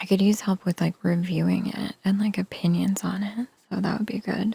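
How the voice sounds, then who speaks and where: A soft-spoken voice at a moderate pace. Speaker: sleepytime reading streamer. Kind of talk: soft-spoken ASMR streamer chatting with viewers.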